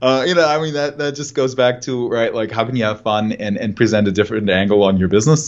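With a German accent, a man speaks at a fairly quick pace with ordinary pitch variation. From Germany. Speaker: marketing director. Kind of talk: podcast interview.

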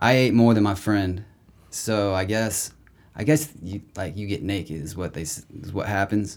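A man with a plain, everyday voice and an American accent speaks at a moderate pace and fairly low pitch, with ordinary pitch variation and big swings in loudness, on a very clean recording with a silent background. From Indiana, Indianapolis. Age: 30s. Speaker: musician. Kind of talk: casual chat. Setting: studio.

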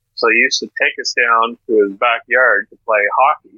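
A man speaks with a Maritime Canadian accent. His pace is moderate. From Atlantic Canada, Miramichi, New Brunswick. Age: old. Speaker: former radio announcer. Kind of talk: casual interview.

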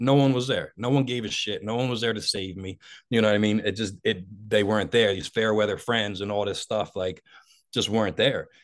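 A man speaks with a Philadelphia accent at a fairly low pitch. His pace is fairly quick and his intonation fairly even. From Delaware County, Philadelphia area, US. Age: 40s. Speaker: motivational speaker in addiction recovery. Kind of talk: personal testimony in interview.

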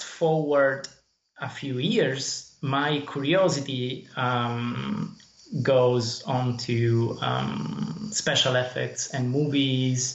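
A man's voice is heard with audible room echo. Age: 30s. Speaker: indie game developer. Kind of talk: interview. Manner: halting.

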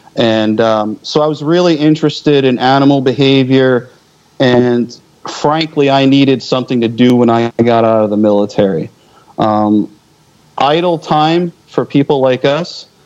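Over noticeable background noise, a man of medium pitch speaks at a fairly slow pace with ordinary pitch variation and very even loudness. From US Northeast, Philadelphia area. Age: 40s. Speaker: military veteran. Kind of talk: casual chat.

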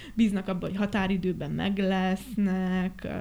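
This woman has a dark, mellow tone and a medium pitch. She speaks at a fairly slow pace. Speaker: set and costume designer. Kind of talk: casual chat.

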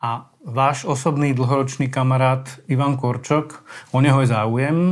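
The man's pitch is medium and his intonation is monotone and flat. He speaks at a moderate pace. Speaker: newspaper reporter, podcast host. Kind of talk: interview.

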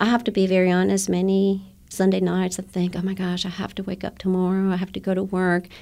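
Monotone, flat intonation at a fairly quick pace. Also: woman. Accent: Guatemalan. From Guatemala. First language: Spanish. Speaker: elementary Spanish teacher. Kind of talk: interview. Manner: hesitant, with fillers.

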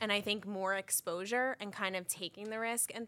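A woman with a bright, sharp tone at a moderate pace. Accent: New York. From Long Island, New York. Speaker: manager. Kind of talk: casual chat.

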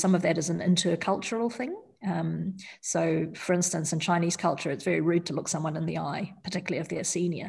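A woman with a New Zealand accent, fairly low pitch, vocal fry, ordinary pitch variation and a moderate pace against a quiet background. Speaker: surgeon. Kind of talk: interview. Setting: studio.

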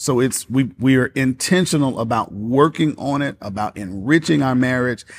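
In a very clean recording with a silent background, a man speaks in a normal speaking voice at a medium pitch and moderate pace, with ordinary pitch variation and hardly any pauses. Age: 40s. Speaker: minister. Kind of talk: casual chat.

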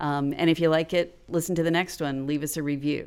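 A woman with an American accent speaks at a moderate pace in a very deep, low pitch. Her intonation is monotone and flat, on a very clean recording with a silent background. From Florida. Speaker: podcast writer and educator. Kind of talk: casual interview chat.

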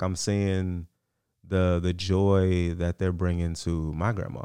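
A man with an American accent and a very deep, low pitch is heard in a very clean recording with a silent background. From Virginia, Hampton Roads (Newport News). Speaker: podcast co-host. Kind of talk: casual chat.

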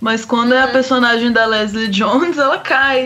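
A raised, projected voice comes at a moderate pace over noticeable background noise. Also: woman. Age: 30s. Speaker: film critic. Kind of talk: casual chat. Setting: video call.

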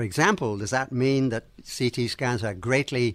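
A man with an English accent talks at a moderate pace in a medium pitch, on a very clean recording with a silent background. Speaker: radiation scientist, podcast host. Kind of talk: educational podcast discussion.

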